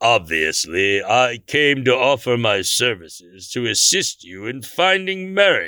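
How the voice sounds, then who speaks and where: A man's theatrical, medium-pitched voice with very wide pitch swings, a fairly slow pace and hardly any pauses, on a very clean recording with a silent background. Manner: grandiose, theatrical.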